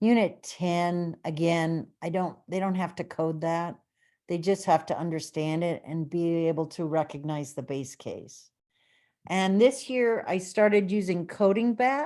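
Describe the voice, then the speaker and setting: A woman with a fairly low pitch and a dark, mellow tone talks at a fairly slow pace on a very clean recording with a silent background. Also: ordinary pitch variation. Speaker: computer science teacher. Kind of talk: conference presentation.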